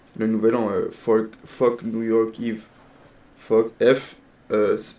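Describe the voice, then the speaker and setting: Very slowly, a man speaks at a medium pitch in a dark, mellow tone. His intonation stays monotone and flat. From Quebec. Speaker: streamer. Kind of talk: casual chat.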